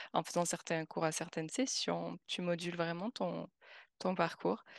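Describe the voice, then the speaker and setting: A woman talks at a moderate pace in a fairly low pitch with vocal fry. The sound is dry and close with no echo, over a quiet background. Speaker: expat, continuous improvement specialist. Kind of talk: interview.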